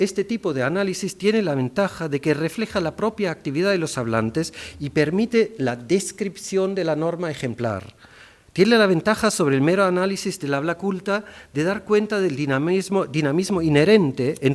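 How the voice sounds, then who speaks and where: On a very clean recording with a silent background, a man talks at a moderate pace in a high pitch with lively intonation. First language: German (speaking Spanish). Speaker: linguist. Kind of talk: formal academic speech. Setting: ceremony hall with audience. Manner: formal; some hesitations and self-corrections.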